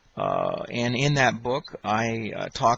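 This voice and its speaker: The speaker is a man with a medium pitch. Noticeable background noise sits behind him. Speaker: electrical engineer. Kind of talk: testimony. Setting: audio recording. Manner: halting, many fillers.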